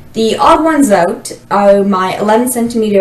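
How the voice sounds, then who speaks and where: With a Canadian accent, a woman speaks at a fairly slow pace with lively intonation. Her pitch is fairly high, and there is noticeable background noise. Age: 20s. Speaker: doll collector, university student. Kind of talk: casual self-introduction monologue.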